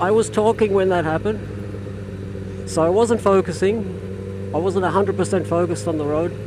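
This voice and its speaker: Over noticeable background noise, a man talks at a moderate pace with hardly any pauses. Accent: Australian. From Australia. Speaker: motorcycle vlogger. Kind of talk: casual vlog monologue while riding. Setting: riding a motorcycle in traffic. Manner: hesitant, repetitive fillers.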